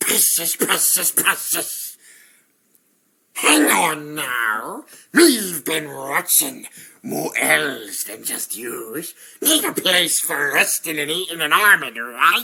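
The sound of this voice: Putting on a character voice, a man speaks very slowly in a raspy, fairly high register.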